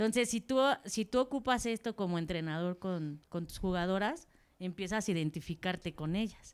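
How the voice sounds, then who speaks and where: Someone talks at a moderate pace in a normal speaking voice. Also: woman, medium pitch for a woman. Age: 40s. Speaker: football coach. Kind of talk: audience question. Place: hall.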